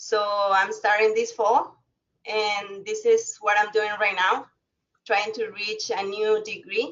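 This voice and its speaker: A woman with a slight Spanish accent speaks very slowly at a fairly high pitch, in a monotone, flat intonation. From Mexico. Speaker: alumna, former college student. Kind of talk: webinar talk. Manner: halting.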